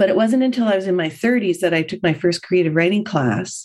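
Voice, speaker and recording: A woman's lively intonation at a moderate pace. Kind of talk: interview answers. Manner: breathless storytelling.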